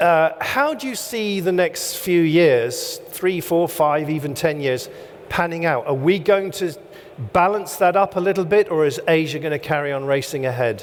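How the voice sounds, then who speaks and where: A man's high voice with ordinary pitch variation, amid audible room echo and noticeable background noise. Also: moderate pace. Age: 60s. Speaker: event host. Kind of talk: on-stage interview. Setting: stage with audience.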